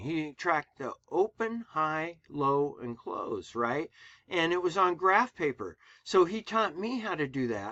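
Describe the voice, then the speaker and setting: A man talks in a plain, everyday voice. His intonation is lively and his pace fairly slow. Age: 60s. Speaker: trader. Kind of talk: screen-share trading commentary. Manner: casual, filler-heavy.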